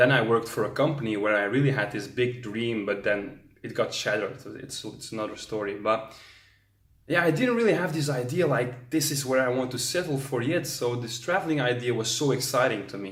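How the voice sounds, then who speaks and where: Somewhat breathy, fairly quick speech with audible room echo. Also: man, medium pitch for a man, ordinary pitch variation. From Belgium, Antwerp. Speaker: travel vlogger. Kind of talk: vlog monologue.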